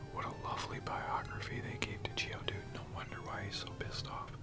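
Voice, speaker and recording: Someone is whispering in a relaxed tone. Music plays in the background. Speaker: ASMR gaming streamer. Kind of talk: casual gameplay commentary. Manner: relaxed, conversational.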